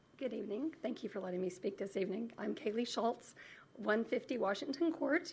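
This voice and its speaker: Putting on a raspy character voice, a woman speaks at a fairly high pitch. Her pace is fairly quick and her intonation lively. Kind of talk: formal public comment.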